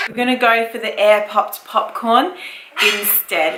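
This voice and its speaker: A woman speaks with an Australian accent. Noticeable background noise runs under her voice. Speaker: mother of six, family vlogger. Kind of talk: casual talk to camera.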